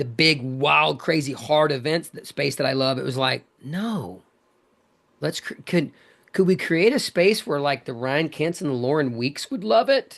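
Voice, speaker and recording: In an animated tone with lively intonation, a man talks fairly slowly at a fairly high pitch over a quiet background. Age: 50s. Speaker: fitness coach and event brand leader. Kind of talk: podcast interview.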